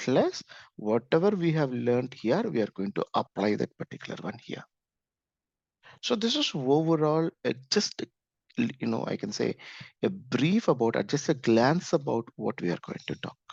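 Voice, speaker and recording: A man with an Indian accent at a medium pitch, moderate pace, very wide pitch swings and long, frequent pauses, in a dry, close sound with no echo and a quiet background. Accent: Indian English (Telugu). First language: Telugu. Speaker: programming instructor. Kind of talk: course orientation talk. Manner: repetitive, halting with fillers.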